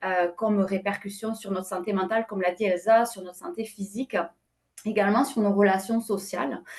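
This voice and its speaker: A woman at a medium pitch, fairly quick in pace, with fairly even intonation. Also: big swings in loudness. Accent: slight southwestern French. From southwest France. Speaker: company president, panelist. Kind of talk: webinar panel discussion. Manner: many hesitations and fillers.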